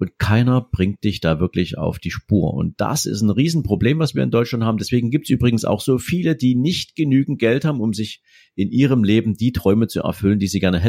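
A man's dark, mellow voice at medium pitch, lively in intonation, fairly quick with hardly any pauses, in a dry, close sound with no echo. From Saxony, Dresden. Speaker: wealth manager. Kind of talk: interview.

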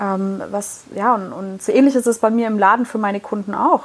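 The voice belongs to a woman. It sits in the medium pitch range. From Heidelberg area, Germany. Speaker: podcast co-host, business owner. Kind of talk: casual chat.

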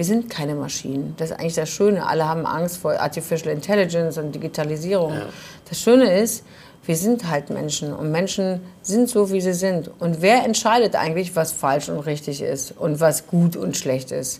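This woman has an unremarkable speaking voice, fairly low in pitch, moving at a moderate speed with ordinary pitch variation. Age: 40s. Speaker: fashion trade fair organizer. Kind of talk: casual chat. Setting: bar.

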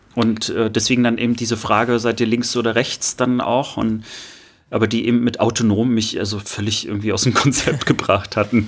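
Over noticeable background noise, a man talks at a fairly quick pace in a flat monotone at medium pitch. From Rostock, northeastern Germany. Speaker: podcast co-host. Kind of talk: casual chat.

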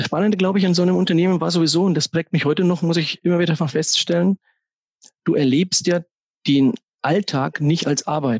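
This man speaks at a fairly quick pace in a high voice, his loudness very even and his pitch varying in an ordinary way. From Upper Franconia, Germany (Kronach area). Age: 40s. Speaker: financial advisor and business owner. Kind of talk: podcast interview.

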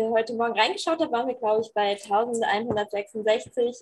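The woman's high-pitched voice keeps a fairly even intonation. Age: 20s. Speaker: youth volunteer organizer. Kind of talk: casual chat.

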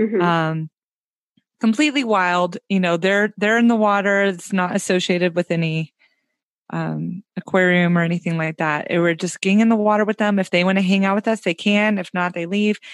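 Speaking in a normal speaking voice with an American accent, a woman at a medium pitch talks at a fairly quick pace with fairly even intonation, in a dry, close sound with no echo and a quiet background. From US South, Tennessee. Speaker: podcaster and travel enthusiast. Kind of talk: casual interview chat.

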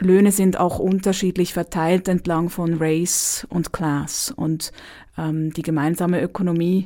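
On a very clean recording with a silent background, a woman with a fairly low pitch speaks at a fairly slow pace with ordinary pitch variation, in an unremarkable speaking voice. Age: 30s. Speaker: dance therapist. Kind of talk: interview.

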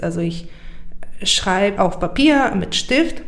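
There is audible room echo around this woman's voice. She speaks at a fairly slow pace. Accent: Bulgarian. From Bulgaria, Burgas. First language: Bulgarian (speaking German). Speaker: poet. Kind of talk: interview conversation. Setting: in the guest's home.

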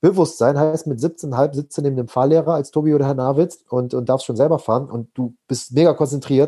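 A man speaks with a fairly high pitch and a dark, mellow tone. His pitch variation is ordinary. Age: 20s. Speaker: personal development coach. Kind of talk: podcast interview.

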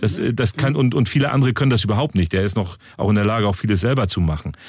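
Speaking at a fairly quick pace, a man uses a plain, everyday voice with lively intonation. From northern Germany. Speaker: podcast host, local politician. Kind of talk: interview.

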